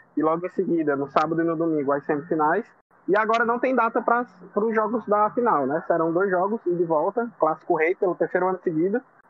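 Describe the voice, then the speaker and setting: Music plays in the background as a man talks very fast with lively intonation. His pitch is high and his loudness very even. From Ceará, Brazil. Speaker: football fan panelist. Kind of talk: casual chat.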